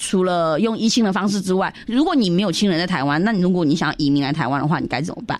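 This woman's pitch is medium. She talks at a very fast pace. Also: hardly any pauses. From Myanmar, Yunnanese Chinese community. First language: Yunnanese (speaking Chinese). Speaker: cultural organizer. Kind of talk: radio interview.

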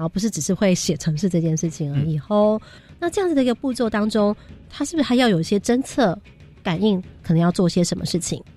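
A woman's medium-pitched voice at a very fast pace, lively in intonation, with music in the background. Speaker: radio host. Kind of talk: radio interview with students. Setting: radio studio. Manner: lively, frequent laughter.

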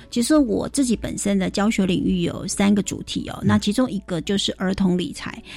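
A woman speaks at a fairly quick pace with hardly any pauses, against noticeable background noise. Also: medium pitch for a woman, ordinary pitch variation. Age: 40s. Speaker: financial expert. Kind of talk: radio interview.

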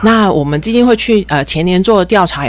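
Noticeable background noise sits behind the voice. A woman speaks at a medium pitch with lively intonation. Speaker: environmental foundation specialist. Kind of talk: radio interview. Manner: cheerful.

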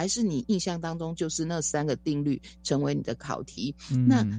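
Her voice is a woman's, very deep and low in pitch, with a dark, mellow tone. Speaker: education professor. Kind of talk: interview.

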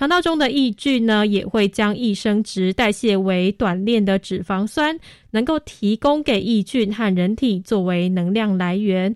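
A normal speaking voice with lively intonation and very even loudness at a fairly slow pace, dry and close with no echo, in a very clean recording with a silent background. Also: woman, medium pitch for a woman. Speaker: radio host. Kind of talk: scripted narration; radio talk show.

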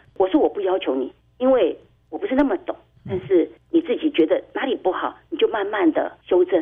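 Speaking at a fairly quick pace, a woman with a high pitch makes very wide pitch swings. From Taiwan, Tainan. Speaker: parent advocate, mother of a blind son. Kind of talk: radio interview.

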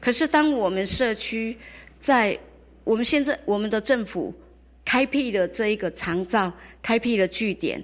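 Her voice sits fairly high, and this woman's intonation is lively. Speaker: community elder-care organizer. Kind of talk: interview.

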